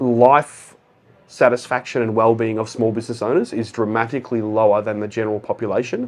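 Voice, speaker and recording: Quiet background behind a man talking at a fairly quick pace. His pitch is medium. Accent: Australian. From Australia. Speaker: accountant and business founder. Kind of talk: casual interview chat.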